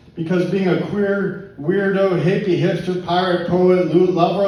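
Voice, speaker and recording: Over noticeable background noise, a man with an American accent speaks at a high pitch and a fairly slow pace. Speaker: poet. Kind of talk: poetry reading. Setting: live pub open mic.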